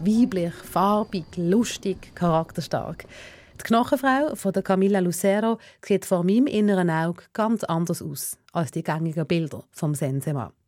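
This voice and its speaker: Speaking at a fairly slow pace, a woman has an ordinary speaking voice and lively intonation. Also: medium pitch for a woman. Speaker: radio host. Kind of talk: scripted narration.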